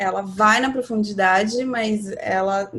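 A woman's fairly high voice with fairly even intonation, an unremarkable speaking voice. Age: 30s. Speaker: astrology guest. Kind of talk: casual chat.

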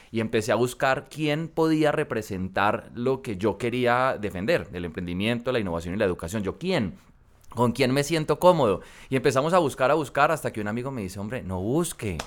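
A man talks at a fairly quick pace with lively intonation. He has a plain, everyday voice at a medium pitch. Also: very clean recording, silent background. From Colombia, coffee region (Armenia, Quindío), later Cali. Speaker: congressman. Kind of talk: interview.

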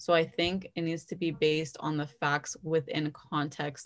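In a Toronto accent, a woman speaks at a very deep, low pitch and a fairly slow pace. Her intonation is monotone and flat, against a quiet background. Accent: Canadian (Toronto area). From Canada, Brampton, Ontario. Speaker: journalism student. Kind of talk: casual interview.

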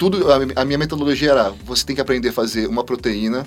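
With a plain, everyday voice, a man at medium pitch speaks with lively intonation. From Brazil, interior of São Paulo state. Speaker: chef, cooking show contestant. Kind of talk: casual chat.

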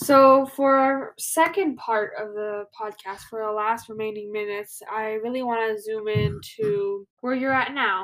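Using an ordinary speaking voice, a woman with a fairly high pitch talks at a fairly slow pace with ordinary pitch variation and hardly any pauses. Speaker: podcast host. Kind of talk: interview.

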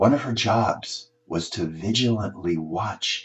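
The intonation is lively. A man speaks in a somewhat breathy voice. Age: 70s. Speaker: columnist and author. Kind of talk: reading aloud.

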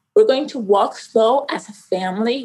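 The speaker is a woman with a Spanish accent. Her voice sits fairly high in pitch. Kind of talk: personal testimony interview.

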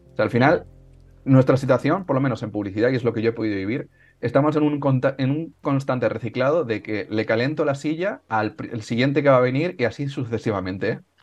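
A man with an ordinary speaking voice talks at a fairly quick pace in a medium pitch, with ordinary pitch variation, against a quiet background. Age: 20s. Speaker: interviewer and channel host. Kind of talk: interview.

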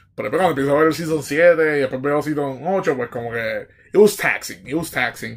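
Fairly quick speech from a man with a Puerto Rican accent, fairly high pitch and ordinary pitch variation. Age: 30s. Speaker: podcast host. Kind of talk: casual solo monologue. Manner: hesitant, many fillers.

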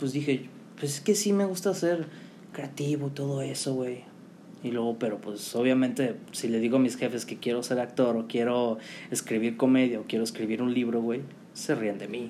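A man with a Mexican accent and medium pitch speaks at a moderate pace with ordinary pitch variation, his voice carrying audible room echo. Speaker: podcast co-host, marketing student. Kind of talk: casual chat.

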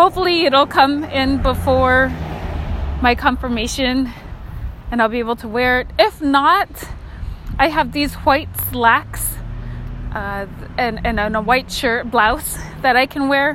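A woman's fairly slow speech with long, frequent pauses and noticeable background noise. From Alaska (Kotzebue). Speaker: podcaster. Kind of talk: casual monologue. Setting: outdoors. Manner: rambling, halting with fillers.

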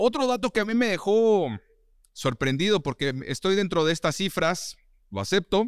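On a very clean recording with a silent background and a dry, close sound with no echo, a man speaks with a high pitch and very wide pitch swings. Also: moderate pace. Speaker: podcast host. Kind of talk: casual interview.

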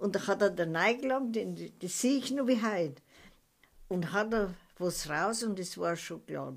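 Vocal fry colors this fairly slow delivery with lively intonation. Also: woman, medium pitch for a woman. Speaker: grandmother recounting wartime childhood. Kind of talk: oral history interview. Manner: halting.

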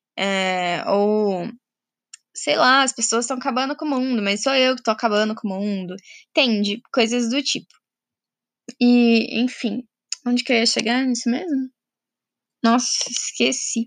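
On a very clean recording with a silent background, a woman with a fairly high pitch speaks at a fairly slow pace with ordinary pitch variation and long, frequent pauses. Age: 20s. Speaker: podcaster. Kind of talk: personal monologue. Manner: casual, hesitant with fillers.

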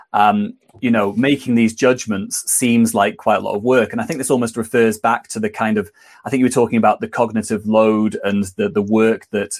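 A man with an ordinary speaking voice, medium pitch and fairly even intonation, at a moderate pace. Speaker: webinar moderator. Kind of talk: webinar introduction and moderation. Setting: online webinar.

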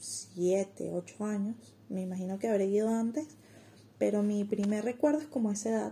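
A woman speaks at a fairly slow pace in a dark, mellow tone that is somewhat breathy. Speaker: online community administrator and designer. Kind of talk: interview.

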